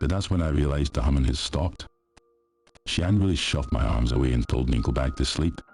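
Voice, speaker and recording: Over music in the background, a man with a very deep, low voice and a Scottish accent talks very fast with very even loudness and ordinary pitch variation. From Scotland. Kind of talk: horror story narration.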